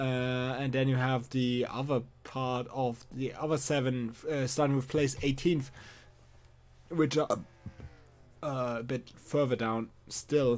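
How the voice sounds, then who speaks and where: Speaking at a very slow pace with long, frequent pauses, a man keeps a medium pitch and monotone, flat intonation. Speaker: sim racing commentator. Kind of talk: live commentary. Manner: hesitant with fillers.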